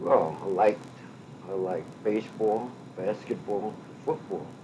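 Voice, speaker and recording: A man with an American accent at a very slow pace, fairly even intonation and noticeable background noise. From western Massachusetts. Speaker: retired state road maintenance foreman; war veteran. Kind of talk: oral history interview answer.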